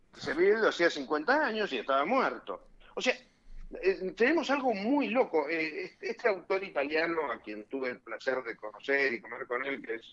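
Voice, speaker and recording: Pitch swings very widely here. The man keeps a moderate pace. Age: 60s. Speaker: lawyer and former judicial council member. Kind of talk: radio interview. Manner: animated.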